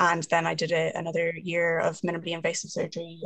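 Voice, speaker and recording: Speaking at a fairly quick pace, a woman with a fairly low pitch uses vocal fry. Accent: Irish. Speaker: surgeon. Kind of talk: panel moderation.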